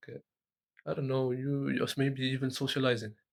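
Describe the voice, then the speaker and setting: With a non-native accent, a man speaks at a medium pitch. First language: not English. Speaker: tech content creator. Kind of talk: motivational talk to camera. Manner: halting, many repetitions and fillers.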